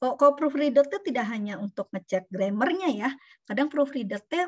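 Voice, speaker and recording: A woman talks with lively intonation. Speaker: university lecturer and researcher. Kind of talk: online lecture. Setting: video call.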